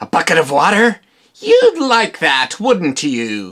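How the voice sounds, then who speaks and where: This is a cartoonish character voice at a middle pitch. It moves at a fairly slow pace. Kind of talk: comic overacting. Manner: theatrical, cackling villain.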